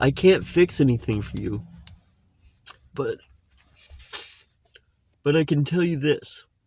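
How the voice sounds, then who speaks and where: Using lively intonation, a somewhat breathy man with a fairly high pitch speaks at a fairly slow pace, leaving long, frequent pauses. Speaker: podcast host. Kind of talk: unscripted personal podcast monologue. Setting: inside a car. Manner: slow, reflective, with pauses.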